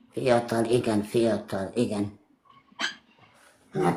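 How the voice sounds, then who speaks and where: A woman with a very deep, low pitch and a very slow pace. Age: 60s. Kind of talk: casual chat. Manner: halting.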